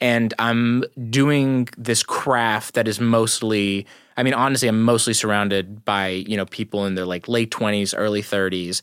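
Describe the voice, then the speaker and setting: A very clean recording with a silent background carries an unremarkable speaking voice at a moderate speed, its intonation fairly even. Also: man, medium pitch for a man. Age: 20s. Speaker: stand-up comedian. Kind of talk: casual chat.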